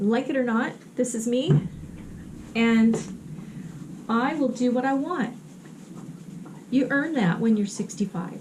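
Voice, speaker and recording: Against noticeable background noise, the speaker moves at a fairly slow pace with lively intonation and long, frequent pauses. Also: woman, fairly high pitch for a woman. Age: 60s. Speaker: artist and vlogger. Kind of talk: casual vlog talk while painting. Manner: hesitant, many fillers.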